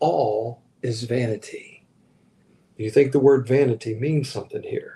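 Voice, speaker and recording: Speaking at a fairly slow pace, a man has a medium pitch, a dark, mellow tone that is somewhat breathy, and fairly even intonation. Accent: American. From Virginia, US (Richmond). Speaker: pastor. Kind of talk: livestream sermon. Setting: live stream while traveling.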